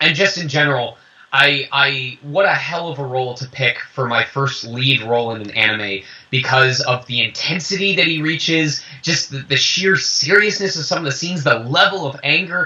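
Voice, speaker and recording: Noticeable background noise sits behind this man. He speaks at a moderate pace in a fairly high pitch with an animated tone. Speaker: voice actor. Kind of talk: interview. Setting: video call.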